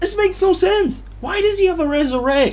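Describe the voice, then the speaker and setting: The pace is moderate. Behind the speech, background noise is noticeable. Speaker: gaming YouTuber. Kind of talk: gaming rant. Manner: animated; loud, yelling.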